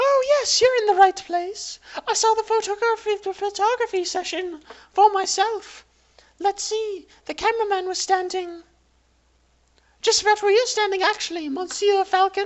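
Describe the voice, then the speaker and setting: In a put-on character voice, a female-sounding speaker squeaks at an extremely high pitch and a moderate pace. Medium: game stream. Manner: polite, hesitant.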